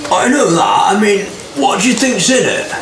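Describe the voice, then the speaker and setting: A man puts on a gruff character voice, pitched extremely high, at a moderate pace. Loud background noise and a slight echo surround it. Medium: actual play.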